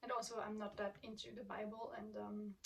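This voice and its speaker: A woman talks at a moderate pace in a fairly high voice. Her voice is somewhat breathy. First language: not English. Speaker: booktuber. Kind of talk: casual vlog chat. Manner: hesitant, many filler ums.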